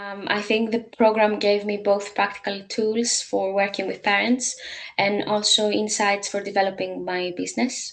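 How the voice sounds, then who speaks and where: At a moderate pace, a woman speaks with a Greek accent. Her intonation is monotone and flat. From Greece. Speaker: language teacher and parent coach. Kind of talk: testimony. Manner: hesitant, many filler sounds.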